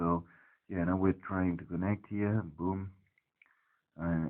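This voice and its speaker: With a non-native accent, a man speaks at a very deep, low pitch and varies it in an ordinary way. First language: not English. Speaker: tech hobbyist investigating network security. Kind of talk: screen-recorded tutorial walkthrough. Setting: at home next to the router. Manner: hesitant, many fillers.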